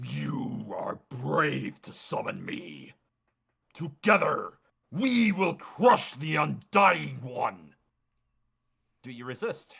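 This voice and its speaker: Putting on a raspy character voice, a man speaks very slowly at a fairly high pitch, with long, frequent pauses. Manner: commanding, menacing.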